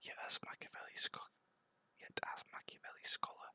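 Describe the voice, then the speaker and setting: A man's whisper, dry and close with no echo. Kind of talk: ASMR book reading. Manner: whispered.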